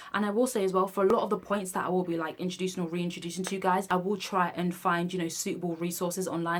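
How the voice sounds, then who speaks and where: Her voice is fairly low in pitch. The woman speaks at a very fast pace. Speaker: nursing student and video blogger. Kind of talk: tutorial. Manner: animated.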